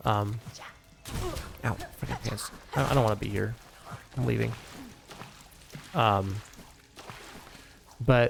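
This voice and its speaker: This man talks at a fairly slow pace in a fairly low pitch, with ordinary pitch variation and long, frequent pauses. Noticeable background noise sits under his voice. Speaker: gaming streamer. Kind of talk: live gameplay commentary. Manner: mumbles when reading chat; halting, many fillers.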